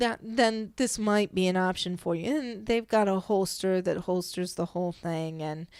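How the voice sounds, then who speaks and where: A woman's normal speaking voice, medium in pitch with ordinary pitch variation and a moderate pace, in a very clean recording with a silent background. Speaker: podcast host. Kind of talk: solo podcast monologue.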